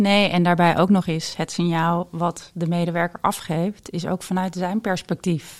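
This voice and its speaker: In a plain, everyday voice, a woman speaks at a fairly slow pace and fairly low pitch with fairly even intonation, on a very clean recording with a silent background. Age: 40s. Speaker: intuitive coach and reader. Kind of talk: casual interview.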